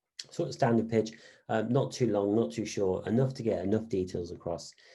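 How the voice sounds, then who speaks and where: A man with a fairly low pitch and a dark, mellow tone, fairly quick pace, ordinary pitch variation, quiet background. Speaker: business lecturer. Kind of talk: online lecture. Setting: online session. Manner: fast.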